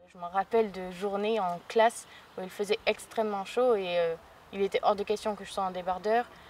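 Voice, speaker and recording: Moderate pacing from a woman, medium in pitch, with a monotone, flat intonation. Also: big swings in loudness. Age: 20s. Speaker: patient with vitiligo. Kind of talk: testimony. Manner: hesitant, many fillers.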